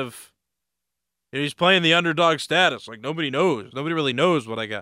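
Speaking in a normal speaking voice, a man holds a fairly high pitch with ordinary variation as he talks at a moderate pace. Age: 20s. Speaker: sports podcast host. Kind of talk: solo sports commentary. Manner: casual, conversational with fillers.

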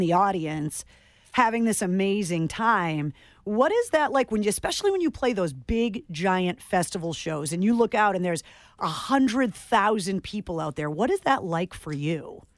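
At a fairly quick pace, a woman uses a plain, everyday voice with a medium pitch and lively intonation. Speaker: radio host. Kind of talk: radio interview. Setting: radio studio.

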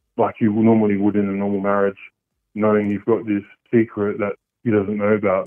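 An Australian accent marks this man's speech. His pitch sits fairly low. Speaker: caller. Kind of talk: radio phone-in confession. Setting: phone call. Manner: hesitant, many ums.

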